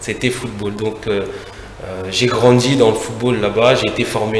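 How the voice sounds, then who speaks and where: The speech is fairly slow and monotone with flat intonation, heard with audible room echo and noticeable background noise. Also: man. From France (left Congo at nine). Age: 40s. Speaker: football manager, former player. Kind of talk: TV interview. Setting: TV studio. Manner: hesitant, many fillers.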